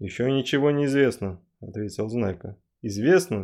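Reading aloud in a natural voice against a quiet background.

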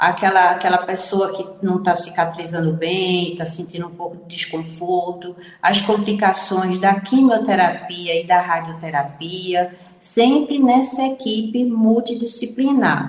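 With noticeable background noise behind her, a woman talks fairly slowly at a medium pitch, using ordinary pitch variation and hardly any pauses. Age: 70s. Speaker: physician. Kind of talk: radio interview.

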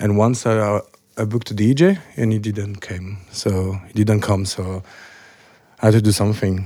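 A man talks at a moderate pace with fairly even intonation. His voice is fairly low in pitch, with a dark, mellow tone. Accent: French. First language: French. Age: 30s. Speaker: club DJ. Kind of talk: casual chat.

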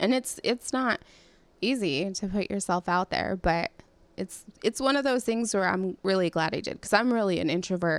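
In an American accent, a woman with an ordinary speaking voice talks at a moderate pace, her medium pitch varying in an ordinary way, captured in a dry, close sound with no echo on a very clean recording with a silent background. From California. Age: 30s. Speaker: podcast host. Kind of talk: casual chat.

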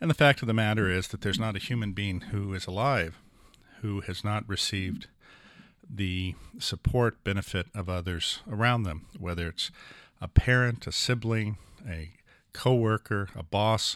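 A man has a plain, everyday voice with a fairly low pitch and ordinary pitch variation. He keeps a moderate pace on a very clean recording with a silent background. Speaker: neurosurgeon and author. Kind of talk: interview discussion.

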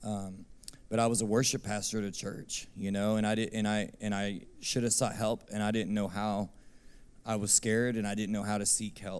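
A man with a Texan accent, fairly low pitch, moderate pace and monotone, flat intonation. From Texas, Abilene. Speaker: worship minister. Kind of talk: testimony.

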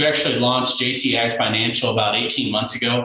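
At a fairly quick pace, a man talks at medium pitch, with audible room echo and noticeable background noise. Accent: Midwestern American. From Kansas, Sumner County near Wichita. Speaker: farm financial consultant. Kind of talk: casual interview.

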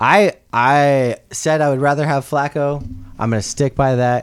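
Recorded very cleanly against a silent background, a man speaks at a moderate pace with medium pitch and ordinary pitch variation. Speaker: sports podcast co-host. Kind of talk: casual chat about NFL picks. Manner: animated. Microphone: mic set up badly.

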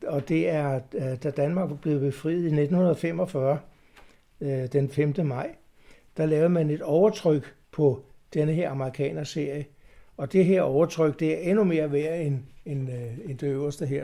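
A man's dark, mellow voice, fairly high in pitch, with fairly even intonation at a fairly slow pace. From Copenhagen, Denmark. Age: 70s. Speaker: stamp collector, club chairman. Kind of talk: interview. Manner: halting.

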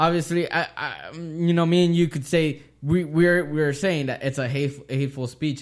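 The recording is very clean and the background silent. A normal speaking voice proceeds at a moderate pace, its intonation fairly even. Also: man, fairly high pitch for a man, hardly any pauses. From US, Mexican-American family. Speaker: podcast host. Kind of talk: casual chat.

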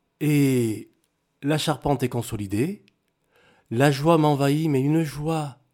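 At a very slow pace with long, frequent pauses, a man talks at a fairly high pitch with ordinary pitch variation. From Cameroon and Togo. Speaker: former footballer, airline pilot. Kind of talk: testimony. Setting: studio.

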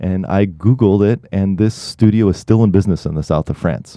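A man with an American accent, fairly low pitch and moderate pace, over a quiet background. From Oregon, US Pacific Northwest. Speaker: photographer and software founder. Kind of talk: interview conversation. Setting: studio.

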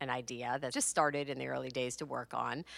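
Very deep, low-pitched woman's voice with vocal fry, on a very clean recording with a silent background. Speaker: podcast host and author. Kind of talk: casual chat.

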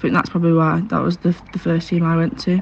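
A woman with a northern English accent is heard over noticeable background noise. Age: 20s. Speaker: rugby league player. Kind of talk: interview.

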